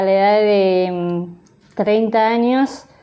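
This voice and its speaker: A woman speaks in an ordinary speaking voice. Her pitch is fairly high, with ordinary pitch variation. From Argentina, Buenos Aires province (San Isidro). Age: 30s. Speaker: sign language interpreter and teacher. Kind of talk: interview.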